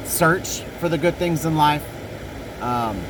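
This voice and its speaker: A man talks with a fairly high pitch. Noticeable background noise accompanies him. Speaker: podcast host. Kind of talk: casual monologue. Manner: halting, self-correcting.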